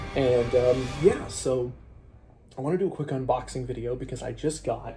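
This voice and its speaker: Over faint background music, a man speaks at a fairly slow pace. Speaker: unboxing video host. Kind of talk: casual vlog chat. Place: home room. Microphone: phone near.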